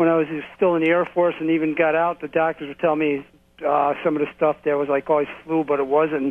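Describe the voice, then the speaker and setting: Delivery is fairly quick and flat, in a monotone. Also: man, fairly high pitch for a man. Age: 60s. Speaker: caller, Vietnam-era Air Force veteran. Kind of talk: casual chat. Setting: phone call. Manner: halting, many fillers.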